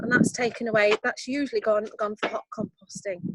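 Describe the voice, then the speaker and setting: Quick-paced and high-pitched, a woman speaks with a Yorkshire accent and ordinary pitch variation, the sound dry and close with no echo. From Yorkshire, northern England. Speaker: composting workshop leader. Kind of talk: online workshop talk. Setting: outdoors on a video call. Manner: hesitant, many fillers.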